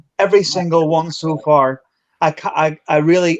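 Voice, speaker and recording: At a moderate pace, a man speaks with a Belfast accent. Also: dry, close sound with no echo. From Northern Ireland, Belfast. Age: 40s. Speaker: paranormal investigator. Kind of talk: casual chat.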